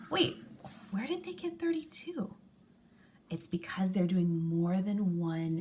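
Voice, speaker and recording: Somewhat breathy and dark, mellow in tone, a woman with a fairly low pitch speaks at a very slow pace. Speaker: elementary school teacher. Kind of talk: tutorial.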